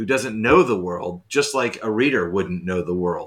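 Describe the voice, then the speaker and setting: A man's unremarkable speaking voice with lively intonation at a moderate pace. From US South, moved around (born in Texas). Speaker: author. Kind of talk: casual interview. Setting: remote call.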